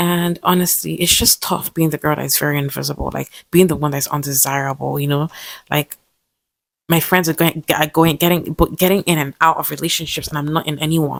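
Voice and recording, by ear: A woman speaks at a fairly quick pace with vocal fry, low in pitch and fairly even in intonation, in dry, close sound with no echo.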